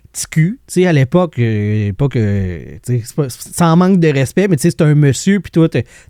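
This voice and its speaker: Spoken at a fairly slow pace with a Quebec accent. The recording is very clean, with a silent background. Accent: Québécois French. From Quebec, Lac-Saint-Jean. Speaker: podcast host. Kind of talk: interview, casual chat.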